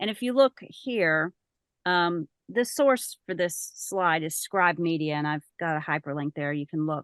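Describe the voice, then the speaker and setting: A woman with a normal speaking voice and a fairly low pitch talks fairly slowly with lively intonation, the sound dry and close with no echo against a quiet background. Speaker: voice actor and audiobook narrator. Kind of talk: presentation to a writers group. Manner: casual, conversational.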